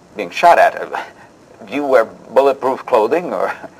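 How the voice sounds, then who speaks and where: The speech comes at a moderate pace against noticeable background noise. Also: man. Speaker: interview host. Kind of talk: interview host patter, scripted show.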